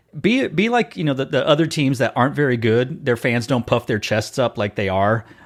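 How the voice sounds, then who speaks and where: Speaking with an American accent, a man with an unremarkable speaking voice talks at a fairly quick pace and medium pitch, with ordinary pitch variation and hardly any pauses. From Texas. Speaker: podcast host. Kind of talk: casual interview chat.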